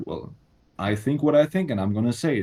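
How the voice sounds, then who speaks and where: In a non-native accent, a man speaks at a moderate pace with a dark, mellow tone and lively intonation. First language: not English. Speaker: social media content creator. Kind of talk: casual podcast conversation. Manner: halting, repeats words.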